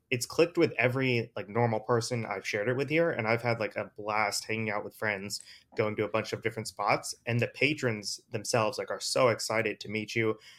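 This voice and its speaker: On a very clean recording with a silent background, a man with a normal speaking voice talks at a medium pitch and a fairly quick pace, his intonation fairly even. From US East Coast. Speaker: crypto investor. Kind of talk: casual chat.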